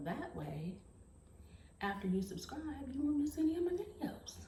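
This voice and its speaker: The woman's pitch swings very widely. Room echo is audible around her. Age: 40s. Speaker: beauty and fashion vlogger. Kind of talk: motivational monologue to camera. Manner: earnest, encouraging; hesitant with fillers.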